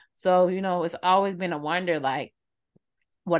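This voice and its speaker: A woman speaks in a monotone, flat intonation at a fairly low pitch. The background is quiet. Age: 30s. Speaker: podcast co-host. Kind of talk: casual chat.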